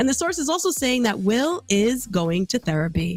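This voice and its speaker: Her voice sits fairly high, and a woman is speaking with very wide pitch swings. Music plays in the background. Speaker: VTuber entertainment news host. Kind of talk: entertainment news talk show, casual livestream. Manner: chatty, gossipy, casual.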